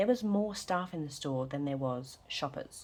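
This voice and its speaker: A soft-spoken woman with an Australian accent talks at a moderate pace, her very deep, low voice carrying lively intonation. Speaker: budgeting vlogger. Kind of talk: casual vlog chat. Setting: at home. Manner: soft-spoken, quiet.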